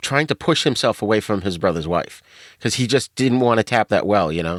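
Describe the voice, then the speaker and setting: Medium in pitch with lively intonation, a man is heard in a dry, close sound with no echo and a very clean recording with a silent background. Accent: New England. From Boston, New England. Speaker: podcast guest, podcaster. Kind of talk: casual chat.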